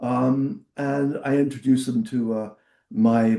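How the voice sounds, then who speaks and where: A dark, mellow tone comes at a very slow pace in a monotone, flat intonation. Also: man. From Portsmouth, southern England. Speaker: former rock singer and record executive. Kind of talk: interview. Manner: halting.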